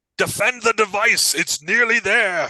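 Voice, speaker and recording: A put-on character voice from a man, high-pitched and at a moderate pace. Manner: urgent, commanding.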